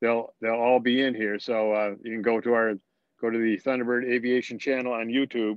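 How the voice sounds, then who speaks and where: At a fairly quick pace, a man talks at a medium pitch. His intonation is monotone and flat. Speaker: flight instructor. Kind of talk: lecture. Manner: fast; halting.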